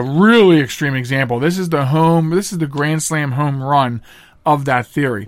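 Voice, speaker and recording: A man talks at a fairly quick pace in an ordinary speaking voice. His pitch variation is ordinary. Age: 40s. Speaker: radio talk show host. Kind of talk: solo talk radio monologue. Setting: studio.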